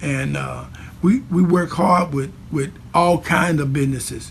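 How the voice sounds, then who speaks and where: Noticeable background noise accompanies a man talking at a moderate pace. He has a fairly high pitch and ordinary pitch variation. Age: 60s. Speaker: pastor. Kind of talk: interview. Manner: repetitive, frequent fillers and restarts; passionate.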